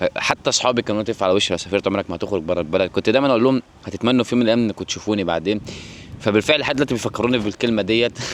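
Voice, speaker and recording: A man's fairly low voice at a very fast pace, very even in loudness, with ordinary pitch variation and a dry, close sound with no echo. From Egypt. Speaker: vlogger. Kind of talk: personal storytelling vlog. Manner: halting, frequent restarts.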